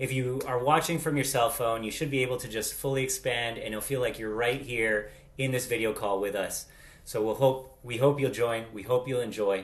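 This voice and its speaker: A man talks with an American accent at a medium pitch and moderate pace. His somewhat breathy voice keeps a fairly even intonation. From Latin America. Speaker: vlog co-host. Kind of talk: casual chat. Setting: video call.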